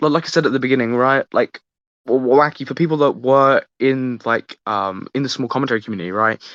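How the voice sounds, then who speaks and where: With a British accent, a man speaks at medium pitch and a fairly quick pace, with ordinary pitch variation. The sound is dry and close with no echo, over a quiet background. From UK. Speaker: podcast host. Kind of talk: casual chat. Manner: halting.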